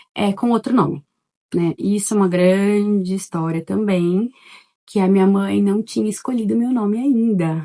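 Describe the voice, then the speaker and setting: Soft-spoken, a woman talks at a medium pitch with a dark, mellow tone. Her pitch variation is ordinary. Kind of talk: testimony. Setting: at home in living room. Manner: casual, chatty.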